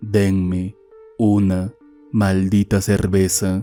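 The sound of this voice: In a put-on character voice, a man growls out guttural words at a very deep, low pitch, very slowly and with monotone, flat intonation, as faint music plays in the background.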